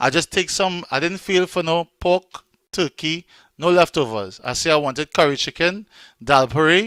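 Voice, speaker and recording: A man with a strong Trinidadian accent speaks at a moderate pace and fairly high pitch, with a bright, sharp tone and ordinary pitch variation. The recording is very clean with a silent background and a dry, close sound with no echo. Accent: Trinidadian, still strong. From Trinidad and Tobago. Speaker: online event host and radio DJ. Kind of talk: casual live-stream hosting.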